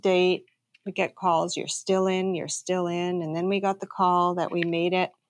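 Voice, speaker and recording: On a very clean recording with a silent background, a woman with a plain, everyday voice speaks at a moderate pace and medium pitch. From Canada. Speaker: entrepreneur, bakery owner. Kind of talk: interview.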